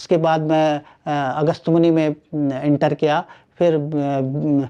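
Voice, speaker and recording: A man with a Garhwali accent speaks with monotone, flat intonation in a fairly high voice with a dark, mellow tone. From Garhwal, Uttarakhand (Rudraprayag district). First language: Garhwali (speaking Hindi). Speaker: linguist. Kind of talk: interview. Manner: halting, many fillers.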